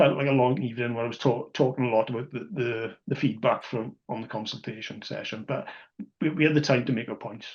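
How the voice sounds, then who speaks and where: A man with a South Welsh accent, fairly quick in pace, with ordinary pitch variation. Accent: Neath Welsh. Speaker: rugby podcast co-host and supporters club representative. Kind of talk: casual podcast discussion. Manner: halting, many false starts and repetitions.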